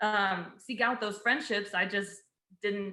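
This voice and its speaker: At a very slow pace, a woman with an American accent speaks at a medium pitch in a bright, sharp tone. Audible echo from the room is present. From Houston, Texas. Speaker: civil engineer. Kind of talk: casual chat.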